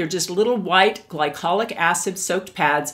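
A woman with a fairly low voice talks at a moderate pace, her intonation lively. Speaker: beauty vlogger. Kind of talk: product review tutorial. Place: home room.

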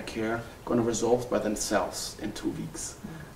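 A man speaks with a German accent at a fairly quick pace. Light background noise and audible room echo are present. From Germany. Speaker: family physician. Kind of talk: interview. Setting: workshop retreat. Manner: halting, with many fillers. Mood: calm, reflective. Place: home room.

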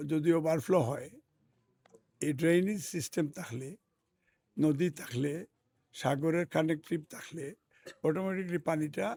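Here a man talks at a fairly high pitch with ordinary pitch variation. His loudness swings a lot. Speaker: politician, parliamentary candidate. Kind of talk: interview. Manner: halting.

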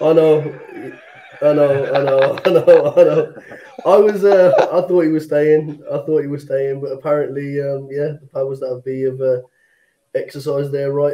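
With an English accent, a man talks at a moderate pace in a dark, mellow tone with ordinary pitch variation over a quiet background. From England. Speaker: football fan; panel member. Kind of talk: casual chat. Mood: disappointed, reflective. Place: home room. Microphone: video call.

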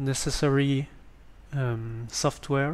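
Speaking very slowly with a French accent, a man has a fairly high pitch. His intonation stays fairly even. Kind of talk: screen-recorded tutorial. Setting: basic home microphone. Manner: hesitant.

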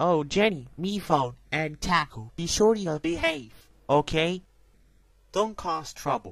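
A man puts on a cartoonish character voice with a fairly high pitch and vocal fry. He speaks at a slow pace with big pitch swings.

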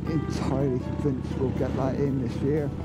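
With music in the background, a man talks at a fairly slow pace. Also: dry sound with no echo. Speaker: motorcycle vlogger. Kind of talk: casual vlog chat. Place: motorbike. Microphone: helmet.

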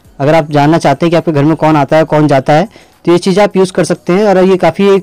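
Against a quiet background, the voice moves at a fairly quick pace with a dry sound and no echo. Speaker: tech channel host. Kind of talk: tutorial. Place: home room. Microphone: phone near.

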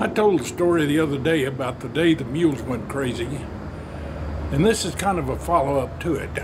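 A man's fairly quick speech with ordinary pitch variation over noticeable background noise. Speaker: storyteller. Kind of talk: folksy spoken yarn of a family tall tale. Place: garden. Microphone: phone near.

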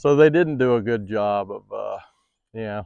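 The background is quiet and the sound is dry, with no echo. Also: man. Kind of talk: tutorial. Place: open country. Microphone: phone near.

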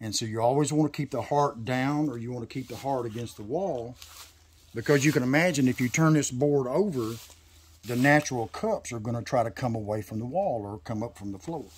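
A somewhat breathy voice in a Tennessee accent, at a fairly quick pace with ordinary pitch variation. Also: man, medium pitch for a man. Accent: Southern US, Tennessee. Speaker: sawmill owner. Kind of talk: casual chat.

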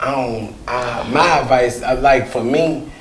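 Medium-pitched male speech in an American accent, with audible room echo and light background noise. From Mississippi, US South. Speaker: comedian. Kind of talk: casual interview. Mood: relaxed, friendly. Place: studio. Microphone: lapel.

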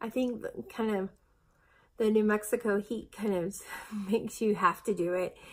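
Her intonation fairly even, a woman speaks. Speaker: weight-loss vlogger. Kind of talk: casual vlog chat. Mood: chatty, occasional laughs. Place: home room. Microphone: phone near.

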